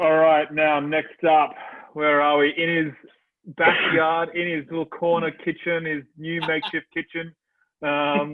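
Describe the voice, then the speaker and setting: A man with an Australian accent, fairly high in pitch, at a fairly slow pace. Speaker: event host. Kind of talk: live event hosting. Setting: video call. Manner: animated; loud, yelling.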